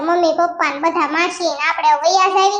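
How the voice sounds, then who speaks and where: In a cartoonish character voice, a female-sounding speaker talks at a moderate pace with an extremely high pitch for a woman. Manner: taunting, domineering.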